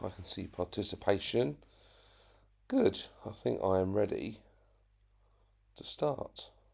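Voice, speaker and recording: A quiet man at a fairly slow pace, with long, frequent pauses and big swings in loudness, in a very clean recording with a silent background. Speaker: RC hobby YouTuber. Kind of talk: live stream chat. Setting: home live stream. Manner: talking very quietly.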